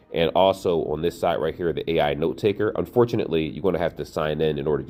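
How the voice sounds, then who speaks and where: A man's very deep, low voice with a dark, mellow tone and vocal fry at a very fast pace. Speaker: tech reviewer. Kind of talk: product review tutorial. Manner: casual, some stumbling over words.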